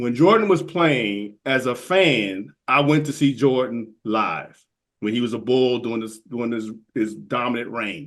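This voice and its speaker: This man has an ordinary speaking voice, medium in pitch with ordinary pitch variation, and he talks at a fairly slow pace. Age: 60s. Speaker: golf podcaster. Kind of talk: casual chat. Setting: podcast recording.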